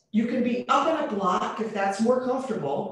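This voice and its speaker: A woman is speaking. Strong room echo surrounds her voice. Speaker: yoga teacher. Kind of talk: instruction. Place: home room. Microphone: webcam.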